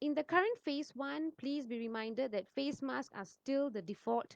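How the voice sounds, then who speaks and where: Heard with a dry, close sound and no echo, a woman talks at a moderate pace with lively intonation. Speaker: pharmacist. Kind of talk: informational talk. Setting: livestream on social media. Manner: soft-spoken. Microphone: too quiet, then adjusted.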